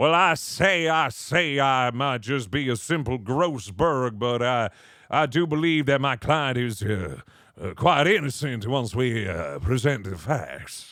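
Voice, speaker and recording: A man puts on a drawling, rumbling character voice at medium pitch, talking at a fairly slow pace. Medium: game stream. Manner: folksy country lawyer drawl.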